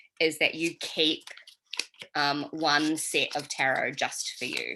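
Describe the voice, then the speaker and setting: A woman with a very deep, low pitch, a bright, sharp tone, monotone, flat intonation and a slight New Zealand accent. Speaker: tarot reader. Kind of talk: online workshop teaching. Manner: casual, many filler ums.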